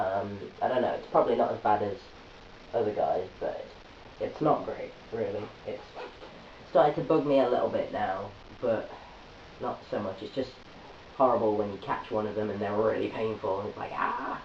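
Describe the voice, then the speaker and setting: An English-accented man at a moderate pace, with long, frequent pauses, audible room echo and noticeable background noise. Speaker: video blogger. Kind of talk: vlog update. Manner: hesitant, many fillers.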